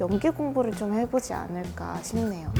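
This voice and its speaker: Noticeable background noise behind a woman speaking at a medium pitch. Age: 20s. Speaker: rapper, music artist. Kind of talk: interview answers.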